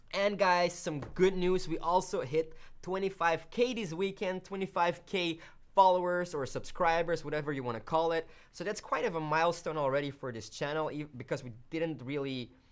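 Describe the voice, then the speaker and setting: A woman with a Flemish accent and a fairly low voice talks at a moderate pace, her loudness swinging widely and her pitch varying in an ordinary way, on a very clean recording with a silent background. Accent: Flemish Belgian. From Belgium, Flemish part. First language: Dutch (Flemish). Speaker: video editing tutorial host. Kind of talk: live stream chat. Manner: casual, hesitant fillers.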